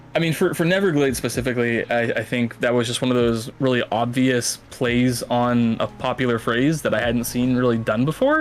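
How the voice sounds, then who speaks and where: Over noticeable background noise, a man with an American accent talks with hardly any pauses, very even loudness and fairly even intonation. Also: medium pitch for a man, moderate pace. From Massachusetts, US. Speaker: author. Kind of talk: interview on live stream. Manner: hesitant, many fillers.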